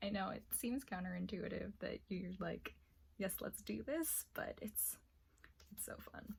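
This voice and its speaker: Soft-spoken, the woman keeps a moderate pace. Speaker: armored combat practitioner. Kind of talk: ASMR roleplay.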